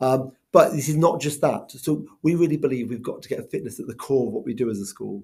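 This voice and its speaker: Fairly quick speech in a Welsh accent. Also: man. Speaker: school head teacher. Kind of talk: school video update. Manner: casual, lots of ums.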